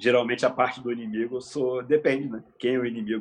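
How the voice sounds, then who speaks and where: A man's voice at medium pitch. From Nova Friburgo, Rio de Janeiro state, Brazil. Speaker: photographer and videographer. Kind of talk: casual interview. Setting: studio, live stream.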